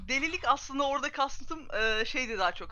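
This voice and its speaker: A woman is speaking. She goes at a very fast pace. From Turkey. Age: 20s. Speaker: esports agency project manager. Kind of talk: casual chat. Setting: video call.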